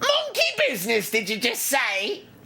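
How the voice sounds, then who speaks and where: A woman's put-on character voice, fairly high-pitched, over clear background noise. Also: moderate pace. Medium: audio drama. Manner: chirpy and unflappable.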